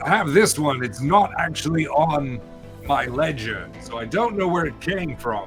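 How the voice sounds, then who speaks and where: Over clear music in the background, a man uses a gruff, put-on character voice at a fairly high pitch and a moderate pace. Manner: gruff, matter-of-fact.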